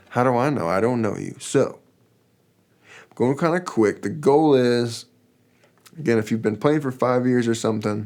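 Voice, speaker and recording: A man speaking at a moderate pace with ordinary pitch variation, long, frequent pauses, and a quiet background. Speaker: guitar teacher. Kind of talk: tutorial. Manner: casual. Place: studio.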